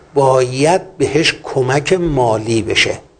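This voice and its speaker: The speaker is a man. Noise is noticeable behind him. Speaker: poultry industry veteran and agricultural engineer. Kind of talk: interview.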